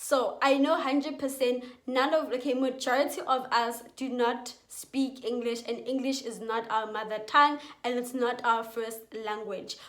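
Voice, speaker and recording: The voice keeps a moderate pace and fairly even intonation. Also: woman, high pitch for a woman. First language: Setswana and Sepedi. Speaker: youtuber giving school advice. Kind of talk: casual vlog advice.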